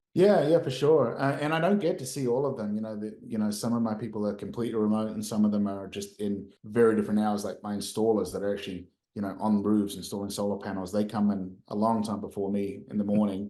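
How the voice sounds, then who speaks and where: Very fast male speech in a dark, mellow tone with hardly any pauses. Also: fairly low pitch for a man, ordinary pitch variation. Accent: New Zealand. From New Zealand. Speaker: company founder and CEO. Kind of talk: podcast interview.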